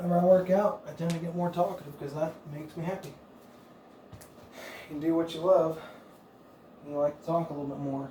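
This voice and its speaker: A soft-spoken man's high-pitched voice at a fairly quick pace, with long, frequent pauses, fairly even intonation and big swings in loudness, amid noticeable background noise and audible room echo. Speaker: fitness coach. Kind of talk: workout instruction.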